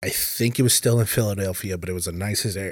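A plain, everyday voice speaks with an American accent at a moderate pace. Pitch varies in an ordinary way, and the sound is dry and close with no echo. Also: man, very clean recording, silent background. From Minnesota. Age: 20s. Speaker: bartender and bouncer. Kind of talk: casual chat.

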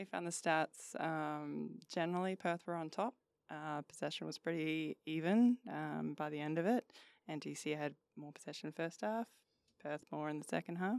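In an Australian accent, a woman with a very deep, low pitch speaks at a moderate pace, the sound dry and close with no echo on a very clean recording with a silent background. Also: ordinary pitch variation. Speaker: football analyst. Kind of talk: casual chat.

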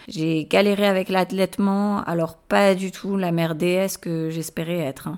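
Fairly slow yet with hardly any pauses, a woman speaks at a medium pitch with fairly even intonation. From Morocco and France. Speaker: parenting podcast host. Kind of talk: solo podcast monologue.

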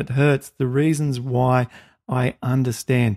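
A man's medium-pitched voice with an Australian accent, dry and close with no echo. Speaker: podcast host. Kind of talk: interview.

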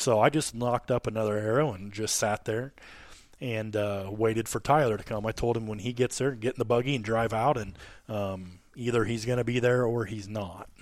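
In a very clean recording with a silent background, a man with a normal speaking voice talks at a fairly quick pace, his medium pitch moving in fairly even intonation. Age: 30s. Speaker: hunting podcast host. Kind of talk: casual chat. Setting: hunting camp.

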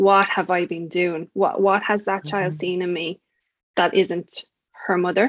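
Heard in a dry, close sound with no echo, a woman with an Irish accent speaks at a medium pitch with monotone, flat intonation. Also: moderate pace. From Ireland. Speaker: success coach for mothers. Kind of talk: interview.

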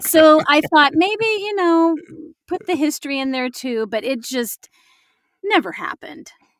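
A woman with an American accent and a high voice speaks at a fairly slow pace with very wide pitch swings, in dry, close sound with no echo. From Illinois, Galesburg. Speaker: actor and voice actor. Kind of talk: casual chat.

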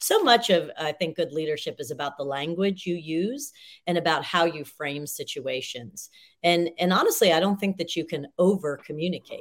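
Moderate-paced speech from a woman with a fairly low pitch. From moved around US, north and south. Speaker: business professor and executive coach. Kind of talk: interview. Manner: animated.

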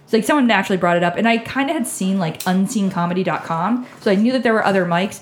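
A woman talks at a very fast pace with a medium pitch and ordinary pitch variation. Noticeable background noise runs underneath. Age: 30s. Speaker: comedian and show producer. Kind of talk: casual chat.

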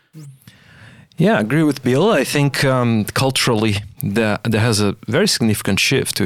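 A man with a non-native accent speaks at a moderate pace with ordinary pitch variation on a very clean recording with a silent background. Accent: foreign-accented English. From outside Australia. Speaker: AI scientist. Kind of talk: interview conversation. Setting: studio.

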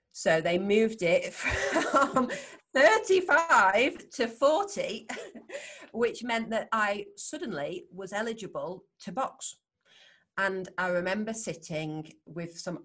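Speaking very slowly with a Yorkshire accent, a woman uses a fairly high pitch, very wide pitch swings and big swings in loudness. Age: 40s. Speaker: world champion Thai boxer and neurophysiotherapist. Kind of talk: interview conversation.

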